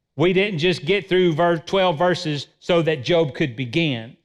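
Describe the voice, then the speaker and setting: A man's fairly slow, high-pitched voice with ordinary pitch variation, over a quiet background. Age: 50s. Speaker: pastor. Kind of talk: sermon. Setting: church.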